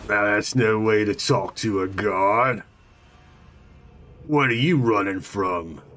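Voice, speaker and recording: A man puts on a character voice at a fairly low pitch with ordinary pitch variation. He goes at a fairly slow pace with long, frequent pauses. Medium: actual play. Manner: gruff, officious.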